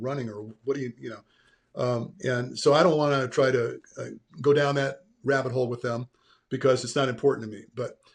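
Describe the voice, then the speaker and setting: A man with a medium pitch speaks somewhat breathily at a fairly quick pace, his pitch varying in an ordinary way. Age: 70s. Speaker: exercise physiology expert. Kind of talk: podcast interview.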